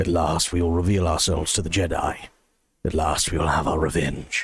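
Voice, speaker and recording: A man's put-on character voice, very deep, low, raspy and gravelly, at a fairly quick pace. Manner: menacing.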